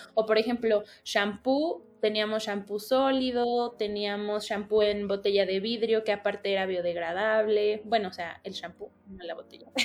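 An ordinary speaking voice runs on with hardly any pauses and big swings in loudness. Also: woman, fairly high pitch for a woman. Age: 20s. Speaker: university student and entrepreneur. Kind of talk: podcast interview.

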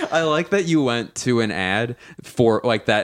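Noticeable background noise sits behind a man with an American accent who speaks at a fairly slow pace and medium pitch with lively intonation. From Philadelphia. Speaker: comedian. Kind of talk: casual chat.

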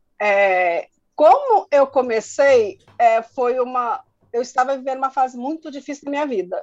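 Her intonation is lively. This woman's voice sits high in pitch. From rural Minas Gerais, Brazil. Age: 40s. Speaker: online small-business owner. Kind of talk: interview.

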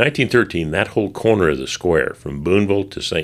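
On a very clean recording with a silent background, a man speaks at a moderate pace with vocal fry and lively intonation. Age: 70s. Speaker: storyteller, local historian. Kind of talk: casual chat. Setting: museum basement recording room.

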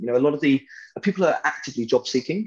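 Against a quiet background, a man talks at a very fast pace with a British accent. His pitch swings very widely. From Britain. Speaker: software company founder and CEO. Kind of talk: casual interview. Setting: video call.

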